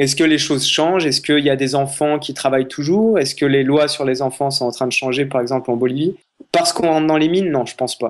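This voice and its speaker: At a very fast pace, a man with a fairly high pitch speaks with ordinary pitch variation. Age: 20s. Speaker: travel photographer. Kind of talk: interview conversation.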